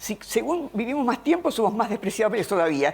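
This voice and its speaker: A woman with a fairly high pitch talks at a fairly quick pace, her voice showing vocal fry and very wide pitch swings. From Argentina, Buenos Aires province. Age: 80s+. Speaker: philosopher. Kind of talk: interview. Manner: halting.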